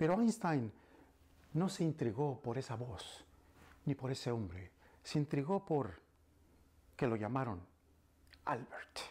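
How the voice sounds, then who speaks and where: With a dark, mellow tone and a somewhat breathy quality, a man moves at a moderate pace through very wide pitch swings and long, frequent pauses. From Mexico City. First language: Spanish. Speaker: storyteller and language instructor; storyteller, language instructor. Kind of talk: bilingual storytelling. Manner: dramatic, with repetition. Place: classroom.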